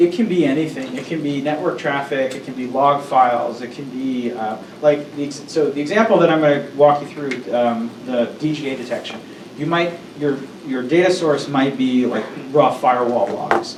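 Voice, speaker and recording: Over noticeable background noise and audible room echo, a man with a fairly high pitch speaks with ordinary pitch variation and big swings in loudness. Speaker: workshop presenter, data scientist. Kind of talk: lecture. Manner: fast.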